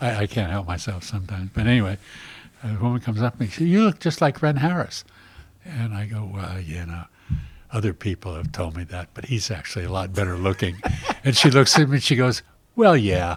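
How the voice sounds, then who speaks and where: A man's fairly low, somewhat breathy voice with an American accent, fairly quick and lively in intonation. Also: big swings in loudness. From US West Coast. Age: 80s+. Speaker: winery owner. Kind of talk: casual chat.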